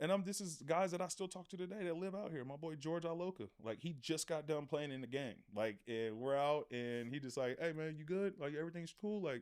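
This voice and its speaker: Fairly high-pitched man with a normal speaking voice and an American accent, lively intonation, a fairly quick pace, and hardly any pauses. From Oakland, California, US. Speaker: former pro football player. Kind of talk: casual interview.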